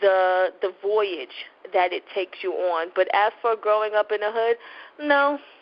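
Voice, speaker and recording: A woman speaks with a New York accent and ordinary pitch variation. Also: medium pitch for a woman. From New York, Brooklyn. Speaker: novelist. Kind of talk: interview. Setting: internet radio show.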